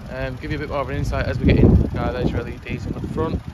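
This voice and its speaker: The sound is dry with no echo, under loud background noise. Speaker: car salesman. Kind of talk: casual product walkaround. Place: street. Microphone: phone near.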